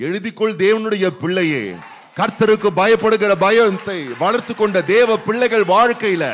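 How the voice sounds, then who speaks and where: Some light noise sits in the background. The speaker's intonation is fairly even. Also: man, high pitch for a man. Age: old. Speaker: pastor. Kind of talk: sermon. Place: church. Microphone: handheld.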